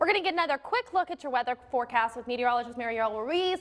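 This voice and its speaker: A woman talks at a very fast pace in a high pitch with lively intonation. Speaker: TV news anchor and reporter. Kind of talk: local TV morning news anchor read.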